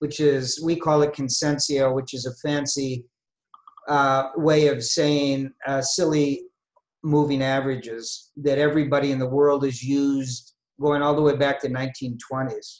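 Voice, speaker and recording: A fairly high-pitched man with monotone, flat intonation. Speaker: investment strategist presenting a webinar. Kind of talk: webinar lecture. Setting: online webinar. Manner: slow, deliberate; hesitant, many filler words.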